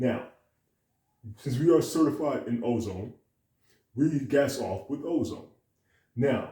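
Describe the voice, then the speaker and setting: The man's voice has a dark, mellow tone and is somewhat breathy. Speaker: detailing business owner. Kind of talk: tutorial. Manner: fast.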